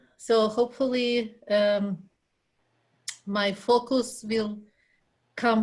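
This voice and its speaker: A woman's somewhat breathy, fairly high voice in a Russian accent, monotone and flat in intonation. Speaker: graduate student. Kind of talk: casual chat. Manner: halting.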